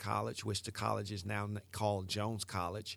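A man with a Southern US accent, fairly low-pitched, at a fairly quick pace with fairly even intonation, on a very clean recording with a silent background. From US South, Mississippi Delta. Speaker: motivational speaker. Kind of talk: motivational monologue.

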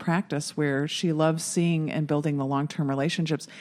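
An ordinary speaking voice at a fairly quick pace, with fairly even intonation, in a very clean recording against a silent background. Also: woman. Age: 50s. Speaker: nurse practitioner. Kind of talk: casual chat.

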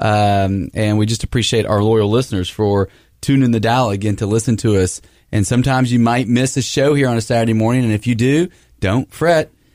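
An ordinary speaking voice from a man, medium pitch, ordinary pitch variation, very even loudness and a fairly quick pace, on a very clean recording with a silent background. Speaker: radio host. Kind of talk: radio interview. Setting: radio studio.

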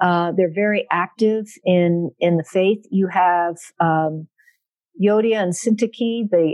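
An unremarkable speaking voice, a woman at medium pitch with an American accent and ordinary pitch variation. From South Central Pennsylvania, US. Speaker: biblical scholar. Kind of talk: interview.

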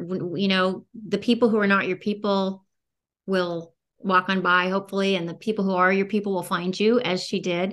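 An ordinary speaking voice at a moderate pace. The background is quiet. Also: woman. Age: 50s. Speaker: podcast host. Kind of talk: interview.

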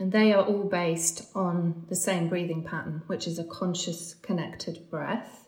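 A woman talks at a fairly slow pace with hardly any pauses, her fairly low voice monotone and flat. Noticeable background noise sits behind her. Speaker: breathwork coach. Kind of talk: interview explanation.

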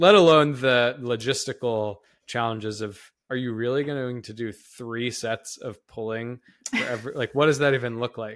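A man with an unremarkable speaking voice talks at a medium pitch and moderate pace, with fairly even intonation. His loudness swings widely, on a very clean recording with a silent background. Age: 30s. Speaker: exercise science professor and podcast co-host. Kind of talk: casual educational podcast discussion.

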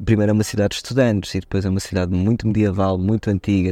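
Talking very fast, a man uses a fairly low, dark and mellow voice with monotone, flat intonation. The sound is dry and close with no echo, and the background is quiet. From Portugal. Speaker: journalist. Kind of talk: casual chat.

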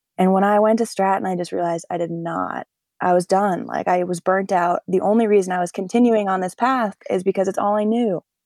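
Delivered in an ordinary speaking voice, a woman's speech with an American accent has a medium pitch, fairly even intonation and a fairly quick pace, with a dry, close sound and no echo. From US Northeast, northern New Hampshire. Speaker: professional skier and paraglider. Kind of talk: interview conversation.

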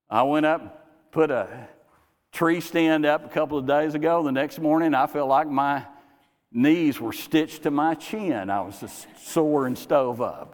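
Talking at a fairly slow pace, a man uses an ordinary speaking voice, fairly high in pitch with ordinary variation. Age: 60s. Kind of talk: sermon. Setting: church.

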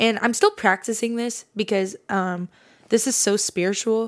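Over a silent background in a very clean recording, a woman speaks at a fairly slow pace with fairly even intonation. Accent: West Coast. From California, Fresno area. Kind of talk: faith-based monologue.

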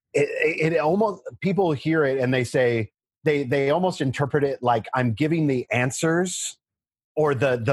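This man's voice sits at a fairly high pitch and is somewhat breathy. He moves at a moderate pace with ordinary pitch variation. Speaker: history instructor. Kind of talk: casual chat.

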